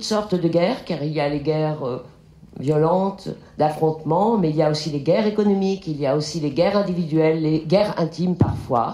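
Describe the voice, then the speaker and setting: A woman speaks with a very deep, low pitch, and audible room echo surrounds her voice. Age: 60s. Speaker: film director. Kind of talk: lecture. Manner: halting.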